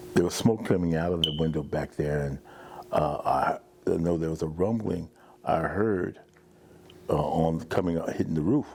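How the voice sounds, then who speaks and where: A man speaks with a very deep, low pitch and fairly even intonation. Long, frequent pauses break his speech over noticeable background noise. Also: moderate pace. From US Northeast, Jersey City, New Jersey. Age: 60s. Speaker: fire survivor. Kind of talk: testimony. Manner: halting.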